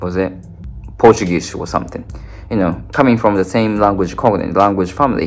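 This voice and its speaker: Music plays in the background as a man speaks. He has a fairly low pitch and a Japanese accent. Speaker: language learning content creator. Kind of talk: casual talk to camera. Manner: halting, many fillers.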